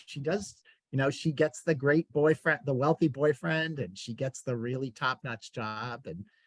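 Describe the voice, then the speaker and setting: A somewhat breathy, fairly high-pitched man with an American accent, in a dry, close sound with no echo. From US Northeast (Queens, New York City). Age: 60s. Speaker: bookseller and event interviewer. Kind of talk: casual conversation in a virtual author event. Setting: video call. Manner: halting, many fillers.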